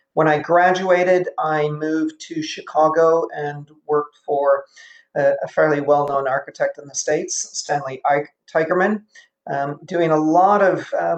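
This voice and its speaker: With an American accent, a man of fairly high pitch talks at a fairly slow pace and fairly even intonation. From US Midwest, Illinois. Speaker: architecture professor. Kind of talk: lecture.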